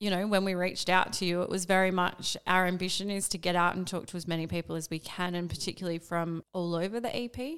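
At a very fast pace, a woman speaks with fairly even intonation and hardly any pauses. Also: medium pitch for a woman. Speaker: podcast host. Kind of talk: casual interview chat.

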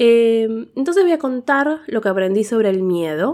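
The speaker talks fairly slowly, with very wide pitch swings. The recording is very clean, with a silent background. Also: woman. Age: 30s. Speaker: podcaster. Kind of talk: personal monologue. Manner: hesitant, many fillers.

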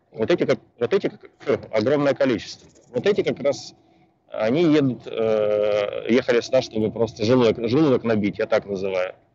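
Lively in intonation, a man with a dark, mellow tone and medium pitch speaks at a moderate pace. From former Soviet Union. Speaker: immigration consultant. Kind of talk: interview answers. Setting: call from a bus.

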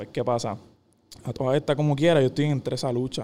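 A man with a Puerto Rican accent speaks at medium pitch in a dark, mellow tone with fairly even intonation. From Puerto Rico, Caguas. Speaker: professional volleyball player. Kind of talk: casual interview.

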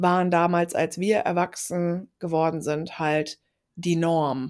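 Her pitch sits in the medium range for a woman. The recording is very clean, with a silent background. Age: 30s. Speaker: podcast co-host and yoga teacher. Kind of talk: casual chat.

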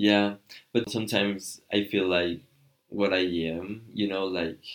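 The speaker has a Spanish accent and a fairly slow pace. Long, frequent pauses break up the speech. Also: man. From Mexico, Michoacan. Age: 30s. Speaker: Spanish teacher. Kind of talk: casual chat.

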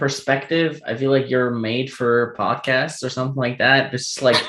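Over noticeable background noise, a man talks at a moderate pace in a fairly high voice. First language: German. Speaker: podcast host. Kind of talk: casual chat. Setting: remote call.

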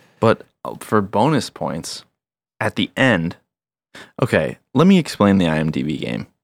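Recorded dry and close with no echo, a man with a fairly low pitch and vocal fry talks at a moderate pace, his pitch swinging very widely between long, frequent pauses. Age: 30s. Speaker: podcast co-host. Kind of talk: casual chat.

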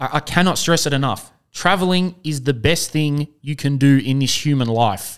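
A man's fairly high voice with an Australian accent and ordinary pitch variation, in a very clean recording with a silent background. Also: moderate pace. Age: 20s. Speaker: podcast host. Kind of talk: casual chat.

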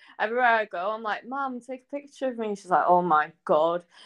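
Against a quiet background, a woman with a Scouse accent speaks with lively intonation, the sound dry and close with no echo. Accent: sounds somewhat Scouse. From Anglesey, north Wales. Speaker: singer-songwriter. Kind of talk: casual interview chat. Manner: animated, lots of fillers.

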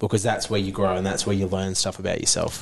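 Fairly low in pitch, a man is talking. He has an Australian accent. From Queensland, Australia. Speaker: CrossFit athlete and diesel mechanic. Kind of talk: casual chat. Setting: gym.

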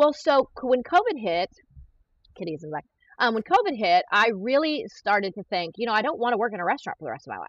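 A woman talks at a very fast pace in an energetic tone, her fairly high pitch swinging very widely and her loudness rising and falling sharply. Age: 40s. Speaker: human trafficking survivor and criminal profiler. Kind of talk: casual interview.

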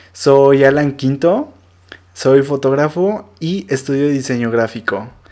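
Speaking with a Mexican accent at a very slow pace, the voice has a dark, mellow tone and ordinary pitch variation. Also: man, fairly high pitch for a man. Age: 20s. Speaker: podcast host. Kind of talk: casual monologue.

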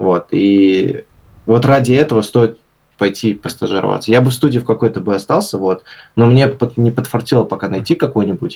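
A man speaks in a medium pitch at a moderate pace, with ordinary pitch variation. His tone is dark, mellow and somewhat breathy. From St Petersburg, Russia. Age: 20s. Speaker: designer and blogger. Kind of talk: casual interview.

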